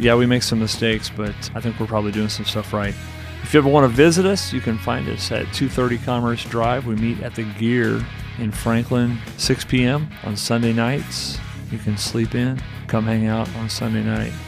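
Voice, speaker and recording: A man's medium-pitched voice at a moderate pace with ordinary pitch variation, music in the background. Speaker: church leader, podcast promo host. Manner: casual, friendly.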